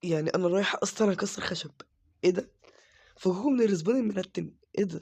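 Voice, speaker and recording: A man with an Egyptian accent and a high pitch, at a fairly quick pace with ordinary pitch variation and long, frequent pauses. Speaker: gaming YouTuber. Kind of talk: let's play commentary.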